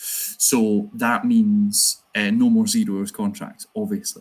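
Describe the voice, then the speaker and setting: A man speaks in a Glasgow accent. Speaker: trade union organiser. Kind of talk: conference talk.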